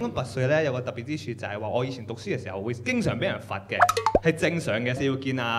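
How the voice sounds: Amid clear background noise, a man with a medium pitch talks at a very fast pace with lively intonation.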